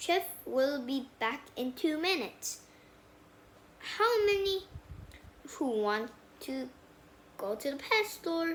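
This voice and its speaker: A woman performs a put-on character voice, pitched high. She delivers it at a very slow pace. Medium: read story. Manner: bossy, exclamatory.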